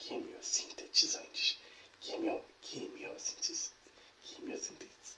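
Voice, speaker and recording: A man is speaking. He is whispering. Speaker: ASMR creator reading a biology text aloud. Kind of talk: ASMR educational reading. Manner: soft-spoken, whispering, stumbling over difficult words.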